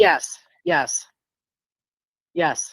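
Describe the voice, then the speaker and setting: A woman speaks with a New York accent. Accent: New York accent, noticeable. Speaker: reading recipient. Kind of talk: casual chat.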